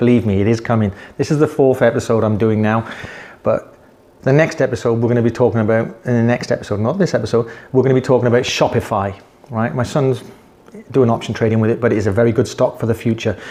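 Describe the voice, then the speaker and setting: A man with a British accent talks at a very fast pace and a medium pitch. His loudness is very even and his intonation fairly even. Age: 60s. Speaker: investing vlogger. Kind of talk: casual investing advice talk. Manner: conversational, repetitive.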